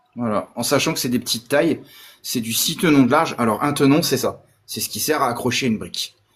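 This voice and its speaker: A man with an ordinary speaking voice talks at a fairly high pitch. His pace is fairly quick, and his pitch varies in an ordinary way. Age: 40s. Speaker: Lego builder and collector. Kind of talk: casual chat.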